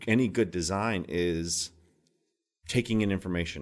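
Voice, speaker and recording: With an American accent, an ordinary speaking voice proceeds at a fairly slow pace with ordinary pitch variation. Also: man. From Minnesota. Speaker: TV home renovation host. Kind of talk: interview.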